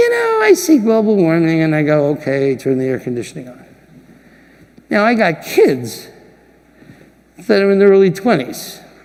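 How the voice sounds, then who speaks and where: Noticeable background noise sits under speech with long, frequent pauses. The loudness swings widely, and the pitch swings very widely. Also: man, high pitch for a man, moderate pace. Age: 60s. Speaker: diamond industry leader giving keynote speech. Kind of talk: keynote speech. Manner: animated.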